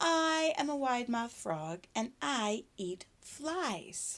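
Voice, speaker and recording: Using a put-on character voice, a woman speaks at a very slow pace with a high pitch and very wide pitch swings. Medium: read story. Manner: storybook read-aloud for preschoolers.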